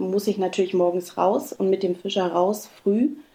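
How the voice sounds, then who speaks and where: A woman speaks with a dark, mellow tone at a medium pitch. Her pace is moderate. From East Berlin. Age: 30s. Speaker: regional TV journalist. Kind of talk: interview. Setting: remote call.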